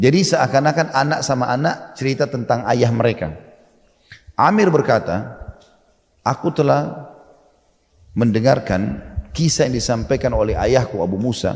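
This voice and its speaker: A man speaks at medium pitch and a moderate pace with lively intonation. Long pauses come often. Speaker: Islamic preacher. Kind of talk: Islamic sermon (ceramah) retelling a historical story. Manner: explanatory, conversational.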